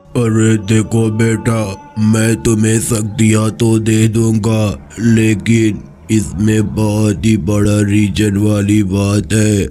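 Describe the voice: Over clear music in the background, a man uses a cartoonish character voice with a fairly low pitch, fairly even intonation, very even loudness and a very slow pace.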